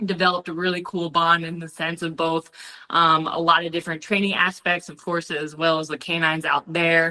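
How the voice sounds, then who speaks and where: A woman with fairly low pitch and a bright, sharp tone talks at a fairly quick pace in an energetic tone, with big swings in loudness. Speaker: Marine Corps veteran and dog trainer. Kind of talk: casual interview.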